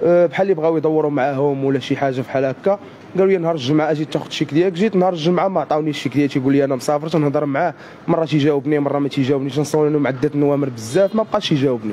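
Delivered at a very fast pace with very even loudness and ordinary pitch variation, the voice sits over light background noise. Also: man. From Morocco. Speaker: fraud victim. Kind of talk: street interview. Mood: aggrieved, complaining. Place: street. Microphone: handheld.

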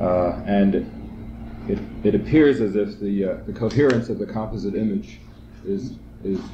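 There is noticeable background noise. A man talks at a moderate pace in a fairly low pitch. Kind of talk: seminar discussion. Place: classroom. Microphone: old recording.

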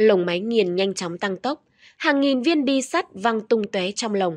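Over a quiet background, a normal speaking voice carries lively intonation. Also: woman, dry, close sound with no echo. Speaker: news presenter. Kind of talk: news reading. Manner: formal.

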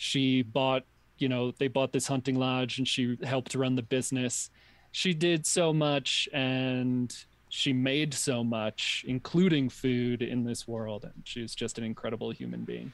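With an American accent and an ordinary speaking voice, a man talks fairly slowly at a medium pitch, his intonation fairly even. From New York. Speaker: podcast guest. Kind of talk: casual chat.

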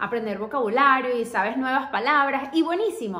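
With lively intonation and a high pitch, a woman talks fairly quickly in a quiet setting with audible room echo. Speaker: YouTuber, language learner; language-learning vlogger. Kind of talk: casual vlog tutorial. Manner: chatty, hesitant with fillers. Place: home room. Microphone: phone near.

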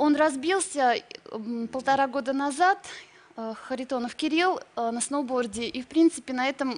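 A woman's high-pitched voice at a moderate pace. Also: ordinary pitch variation. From Russia (St. Petersburg); Russia. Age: 20s. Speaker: ex-model, journalist; journalist. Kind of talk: TV talk show. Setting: TV studio. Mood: earnest, sometimes sad. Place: studio. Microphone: studio mic.

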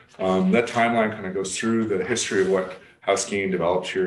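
A man with fairly even intonation, audible room echo and light background noise. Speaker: council presenter. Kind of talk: presentation. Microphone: video call.

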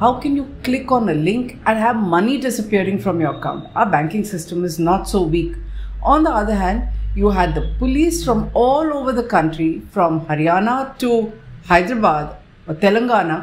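Over light background noise, a woman talks at a moderate pace with vocal fry and very wide pitch swings. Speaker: journalist commentator. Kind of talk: commentary. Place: home room. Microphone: webcam.

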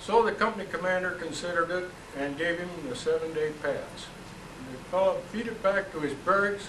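At a moderate pace, a man speaks in a high pitch with ordinary variation. Light background noise and audible room echo are present. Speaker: moderator of community talk series. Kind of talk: moderating and introducing speakers. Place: hall. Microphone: camera far.

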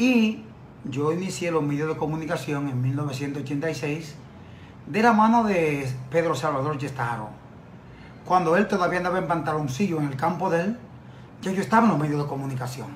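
Over light background noise, a man with a fairly high pitch uses lively intonation and leaves long, frequent pauses. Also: moderate pace. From Dominican Republic. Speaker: journalist and lawyer; journalist, lawyer. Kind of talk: TV interview. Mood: defensive, indignant rebuttal. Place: office. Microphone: phone near.

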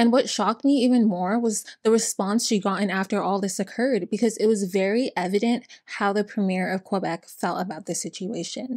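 A woman talks at a fairly quick pace with hardly any pauses. Her intonation is fairly even, and the background is quiet. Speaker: channel host. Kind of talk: true-crime storytelling commentary. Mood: serious, indignant. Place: home room.

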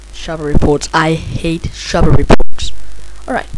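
A woman speaks over noticeable background noise. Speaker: hobbyist tutorial maker. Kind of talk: software tutorial narration. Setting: damaged mic with buzzing. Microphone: handheld.

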